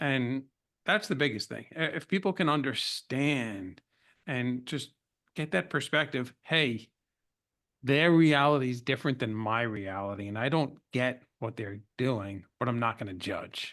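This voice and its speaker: In an American accent, a man of medium pitch speaks at a fairly slow pace with lively intonation. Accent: New York accent, comes out when emotional. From New York. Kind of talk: interview conversation.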